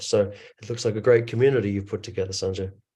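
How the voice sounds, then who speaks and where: His tone dark and mellow, a man speaks at medium pitch with monotone, flat intonation against a quiet background. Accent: American. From US West Coast, Los Angeles. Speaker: actor, director and business coach. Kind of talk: online roundtable discussion.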